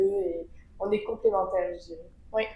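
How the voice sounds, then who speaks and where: This woman's voice sits at a medium pitch, with a dark, mellow tone and a moderate pace. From southern France, Avignon. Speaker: event agency co-founder. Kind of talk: podcast interview.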